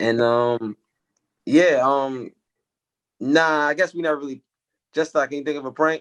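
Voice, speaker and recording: With an American accent, a man speaks at a moderate pace, his fairly even intonation broken by long, frequent pauses, in a dry, close sound with no echo. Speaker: music manager and songwriter. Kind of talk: casual podcast chat. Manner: quiet.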